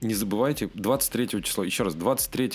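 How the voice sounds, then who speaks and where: This is a man with a plain, everyday voice. His pitch is fairly low, with ordinary pitch variation. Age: 30s. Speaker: rock podcast host. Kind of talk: casual chat.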